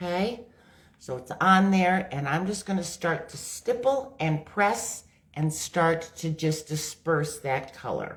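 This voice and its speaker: Speaking very slowly, a woman with a fairly low, somewhat breathy voice uses lively intonation. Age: 60s. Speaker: makeup demonstrator and product seller. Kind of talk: live makeup tutorial. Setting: livestream on social media. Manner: casual, conversational.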